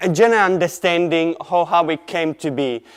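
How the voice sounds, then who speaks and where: A man speaks with an Italian accent. His pitch is high. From Italy. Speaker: artist. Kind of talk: presentation. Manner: halting.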